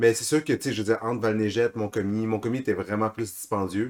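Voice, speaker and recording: The speech comes at a very fast pace with fairly even intonation. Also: man. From Bas-Saint-Laurent, Quebec. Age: 20s. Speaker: podcast co-host, skier. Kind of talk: casual chat.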